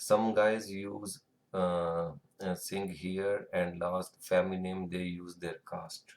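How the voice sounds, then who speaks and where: Speaking fairly slowly with an Indian accent, a man has a very deep, low pitch. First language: Hindi or Punjabi. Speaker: tutorial creator. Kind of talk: tutorial. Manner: halting, with fillers.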